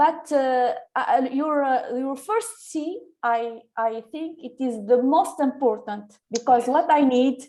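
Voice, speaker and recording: Against a quiet background, the speech comes at a very slow pace in an Arabic accent, with ordinary pitch variation. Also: woman. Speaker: teacher. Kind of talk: audience question. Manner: halting, many fillers.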